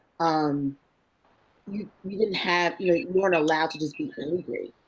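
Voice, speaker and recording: A woman with a New Jersey accent, at a fairly quick pace and with ordinary pitch variation. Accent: New Jersey American. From northern New Jersey, East Orange. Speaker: marketing executive. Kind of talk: career interview. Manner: lively, animated.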